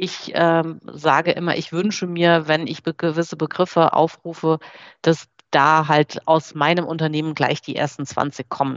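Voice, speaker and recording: A woman speaks at a moderate pace in a very deep, low voice with flat, monotone intonation. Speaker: marketing director. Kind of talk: webinar presentation.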